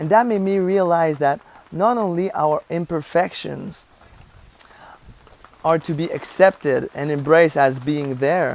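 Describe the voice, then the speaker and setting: Against noticeable background noise, a woman with a Quebec accent and a fairly low pitch speaks at a fairly slow pace with ordinary pitch variation. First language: French. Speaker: vlogger and life coach. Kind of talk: vlog monologue. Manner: halting, searching for words.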